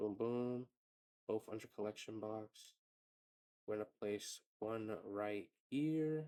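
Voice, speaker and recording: A man's quiet, very slow speech, dark and mellow in tone with ordinary pitch variation, in a dry, close sound with no echo. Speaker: tutorial creator. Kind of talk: tutorial. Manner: casual, filler-heavy.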